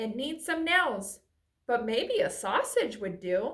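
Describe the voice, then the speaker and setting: Speaking at a fairly slow pace, a woman puts on a high-pitched character voice. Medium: read story. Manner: relaxed, easygoing.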